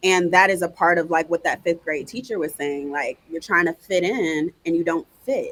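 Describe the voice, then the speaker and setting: A woman speaks in a normal speaking voice at a moderate pace with hardly any pauses. Her pitch variation is ordinary, and the sound is dry and close with no echo. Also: fairly low pitch for a woman. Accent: American. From North Carolina and Virginia. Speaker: educator and marketing entrepreneur. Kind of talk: podcast interview. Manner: casual, uses many fillers.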